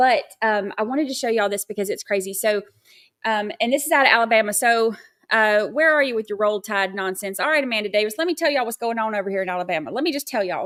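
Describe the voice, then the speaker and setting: A woman with an American accent speaks at a very fast pace in a fairly high pitch with ordinary pitch variation. The recording is very clean, with a silent background. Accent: Southern twang when excited. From Georgia, US South (near Athens). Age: 40s. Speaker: true crime livestream host. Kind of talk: casual livestream chat. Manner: chatty, with many fillers.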